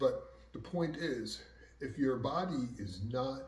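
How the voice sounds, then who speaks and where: Someone with an American accent speaks amid noticeable background noise and audible room echo. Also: man. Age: 60s. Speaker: martial arts instructor. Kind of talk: casual talk to camera. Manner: conversational, filler-heavy.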